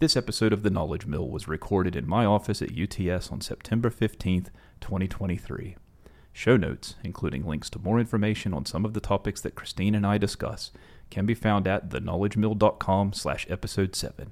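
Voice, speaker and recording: Over a silent background on a very clean recording, a man with an Appalachian accent talks at a fairly quick pace in a fairly low voice with ordinary pitch variation. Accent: Appalachian American. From West Virginia, US Appalachia. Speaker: podcast host. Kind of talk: interview.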